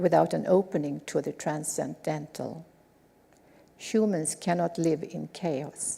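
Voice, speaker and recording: With a Swedish accent, a woman speaks in a dark, mellow tone with vocal fry. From Sweden. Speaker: lecturer. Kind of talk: lecture.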